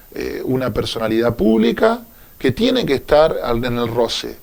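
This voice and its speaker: A man in a Buenos Aires province accent at a moderate pace. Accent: Olavarría accent (Buenos Aires province). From Argentina, Olavarría (Buenos Aires province). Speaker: union leader. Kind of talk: radio interview.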